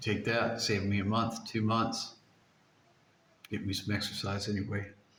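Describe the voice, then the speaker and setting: Amid audible room echo, a man speaks in a monotone, flat intonation at very even loudness. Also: fairly low pitch for a man, moderate pace. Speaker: vlogger documenting a water fast. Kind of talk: casual vlog monologue. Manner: halting, many repetitions.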